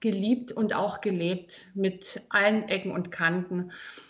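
Fairly slow speech by a woman, noticeable background noise behind it. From Thuringia, Germany. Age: 40s. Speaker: personal trainer. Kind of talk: casual interview.

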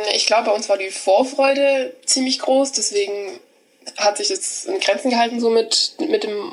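A woman against noticeable background noise. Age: 20s. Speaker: hotel apprentice. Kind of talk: casual interview.

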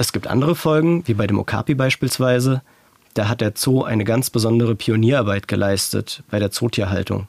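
A man with an unremarkable speaking voice talks at a fairly quick pace in a medium pitch, his pitch varying in an ordinary way and his loudness very even, the sound dry and close with no echo. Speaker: podcast producer and co-host. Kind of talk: casual chat.

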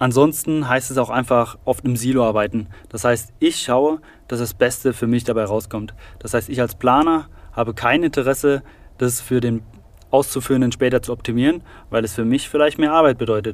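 This is an ordinary speaking voice. Its intonation is fairly even. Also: man, medium pitch for a man, moderate pace. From Saarland, Germany. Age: 20s. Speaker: construction digitalization expert. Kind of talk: interview.

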